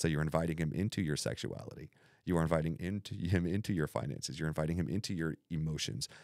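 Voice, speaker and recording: In a very clean recording with a silent background, the speaker goes at a very fast pace with vocal fry and ordinary pitch variation. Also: man, very deep, low pitch for a man. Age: 40s. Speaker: pastor. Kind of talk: casual chat.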